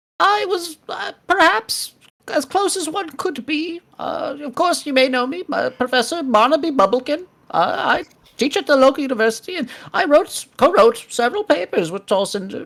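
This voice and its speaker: The speaker does a put-on character voice that is high and squeaky, delivered at a moderate pace. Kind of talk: fussy, academic.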